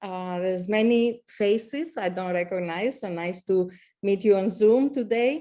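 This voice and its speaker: A woman with a slight Greek accent speaks at a fairly slow pace in a dark, mellow tone. The background is quiet. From Greece. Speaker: astronomy professor. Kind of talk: speech. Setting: video call. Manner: halting.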